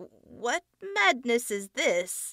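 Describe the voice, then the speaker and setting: A woman puts on a character voice at high pitch. She growls throughout. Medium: read story. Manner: taunting, demanding.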